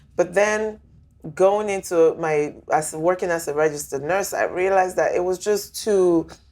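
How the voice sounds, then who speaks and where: A woman's fairly even intonation with music in the background. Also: medium pitch for a woman, moderate pace. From Nigeria. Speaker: nurse practitioner. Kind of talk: interview conversation.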